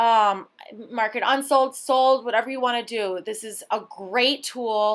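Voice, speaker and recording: The voice has a bright, sharp tone and ordinary pitch variation, on a very clean recording with a silent background. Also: woman. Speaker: car salesperson. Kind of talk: tutorial. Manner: casual.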